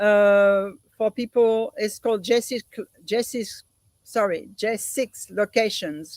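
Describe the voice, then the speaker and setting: Someone with a French accent speaks at a very slow pace with fairly even intonation, the sound dry and close with no echo. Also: woman, fairly high pitch for a woman. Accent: French accent, noticeable. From France, Paris suburbs. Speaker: volunteer organizer, guest. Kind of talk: interview conversation.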